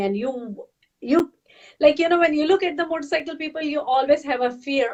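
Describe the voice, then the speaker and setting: A woman is speaking. She has a Pakistani accent. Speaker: health and fitness coach. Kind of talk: storytelling interview. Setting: webcast. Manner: animated.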